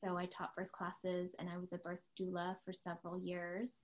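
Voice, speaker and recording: At a moderate pace, a woman with an American accent speaks in a medium pitch. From US West Coast, San Diego. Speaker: podcast co-host. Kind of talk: casual chat.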